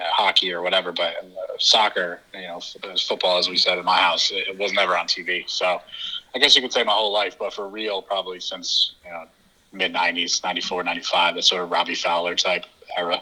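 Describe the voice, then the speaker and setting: A man with an East Coast American accent, very fast delivery, and big swings in loudness. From US East Coast, New Jersey. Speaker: football podcast host. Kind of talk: interview. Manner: halting, many fillers.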